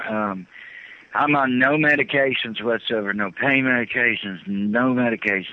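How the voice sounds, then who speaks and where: This man has a normal speaking voice. He talks at a fairly low pitch with ordinary pitch variation. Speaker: former military officer recounting secret projects. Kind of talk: interview. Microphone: satellite phone with delay and static.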